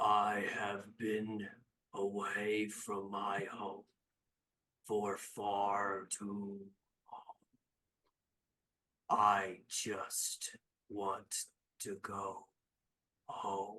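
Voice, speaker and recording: A rumbling, put-on character voice moves at a very slow pace. Long pauses come often. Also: man, fairly low pitch for a man. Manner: weary, homesick.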